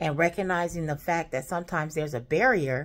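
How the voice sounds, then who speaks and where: A woman with a fairly low pitch, at a moderate pace. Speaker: travel vlogger. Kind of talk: casual vlog chat. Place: home room. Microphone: phone near.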